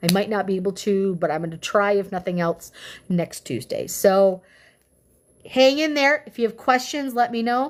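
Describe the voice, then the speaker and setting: A woman moves at a fairly quick pace on a very clean recording against a silent background. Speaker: livestreamer reading political document aloud. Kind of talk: casual livestream sign-off. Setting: live stream. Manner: loud; animated.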